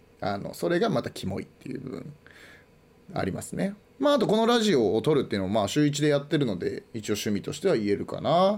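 At a very fast pace, a man speaks fairly high with very wide pitch swings and vocal fry. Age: 20s. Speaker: podcast host. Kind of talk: casual solo talk.

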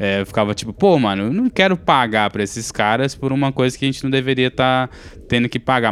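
A man talks at a fairly quick pace in an ordinary speaking voice. His intonation is lively. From Brazil. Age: 30s. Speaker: podcast co-host. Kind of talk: casual chat.

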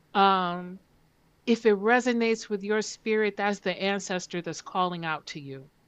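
In an American accent, a woman uses an ordinary speaking voice at medium pitch and a moderate pace, with ordinary pitch variation and big swings in loudness. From northern US (Detroit area). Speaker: genealogy researcher and film festival founder. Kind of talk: interview.

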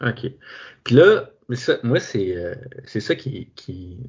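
Somewhat breathy speech comes in a Quebec accent. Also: man. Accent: Québécois French. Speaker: podcast host. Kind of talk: casual interview. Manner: halting.

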